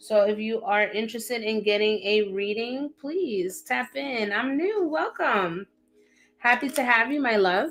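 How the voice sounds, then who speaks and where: Her fairly high pitch and lively intonation come through as this woman speaks at a fairly slow pace with a New York accent. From upstate New York. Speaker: psychic tarot reader. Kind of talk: livestream chat. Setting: livestream. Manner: casual.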